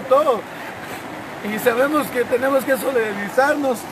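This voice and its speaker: A man speaks at a moderate pace in an extremely high pitch, with noticeable noise in the background. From Guatemala, Cobán. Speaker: local man appealing for flood aid. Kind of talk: emergency appeal. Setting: outdoors. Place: street.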